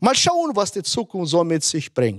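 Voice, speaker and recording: The man's voice sits at a high pitch, with the background quiet. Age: 60s. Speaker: pastor. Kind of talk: sermon. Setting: online conference. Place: stage. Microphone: handheld.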